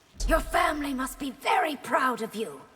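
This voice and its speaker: In a put-on character voice, a woman speaks at a high pitch and a moderate pace with lively intonation. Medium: video game. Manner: regal, commanding.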